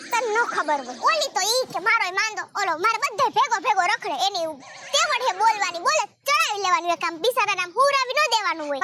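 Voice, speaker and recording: A put-on character voice with very wide pitch swings at a moderate pace. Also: woman, extremely high pitch for a woman. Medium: comedy sketch. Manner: blunt, bossy, insulting.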